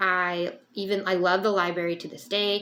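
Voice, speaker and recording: Her medium-pitched female voice moves through ordinary pitch variation. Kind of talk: personal vlog monologue. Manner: halting, with many fillers; searches for words.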